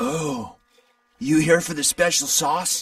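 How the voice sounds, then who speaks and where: Putting on a character voice, a man speaks in a high, raspy pitch at a fairly slow pace. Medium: video game. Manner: hesitant, rambling.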